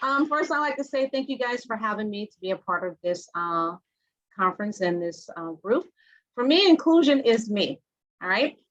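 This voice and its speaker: A woman's fairly high voice in a Southern US accent, with very wide pitch swings, big swings in loudness, and a moderate pace. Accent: Southern twang. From Louisiana. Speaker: hotel general manager, panelist. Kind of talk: panel discussion. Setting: video call.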